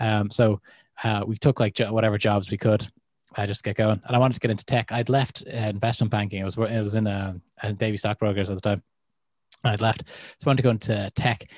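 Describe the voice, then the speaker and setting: With an Irish accent, a man talks very fast at a fairly low pitch, his sound dry and close with no echo against a quiet background. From Ireland. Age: 30s. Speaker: podcast host. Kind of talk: casual chat. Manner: animated.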